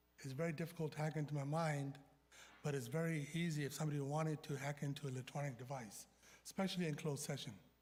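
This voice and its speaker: This man speaks at a very fast pace with a fairly high pitch and a somewhat breathy quality. His intonation stays fairly even. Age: 60s. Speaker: city council member. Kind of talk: heated debate. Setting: council chamber.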